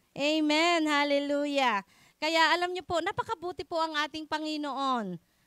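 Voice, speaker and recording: A woman with a high-pitched, bright, sharp tone projects her raised voice at a moderate pace. The recording is very clean and silent behind her, with a dry, close sound and no echo. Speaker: preacher. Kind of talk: sermon. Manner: loud.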